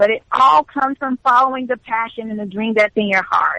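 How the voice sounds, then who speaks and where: A woman with an American accent speaks at a moderate pace in a bright, sharp tone, with a dry, close sound and no echo. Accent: southern, strong at times. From Alabama, US South. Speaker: lifestyle expert and YouTuber. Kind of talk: interview.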